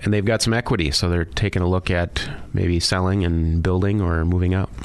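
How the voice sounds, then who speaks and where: Speaking at a fairly quick pace, a man with a very deep, low pitch keeps his intonation fairly even and his loudness very even. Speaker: mortgage lender. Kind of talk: radio interview.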